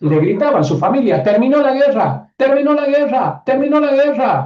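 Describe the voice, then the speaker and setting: A man speaks at an extremely high pitch with a dark, mellow tone. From northern Argentina, Catamarca. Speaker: online course teacher, systemic coach. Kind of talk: live online class.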